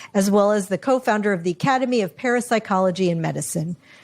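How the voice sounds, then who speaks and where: This woman has a plain, everyday voice at medium pitch, with ordinary pitch variation. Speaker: podcast host. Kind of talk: podcast intro.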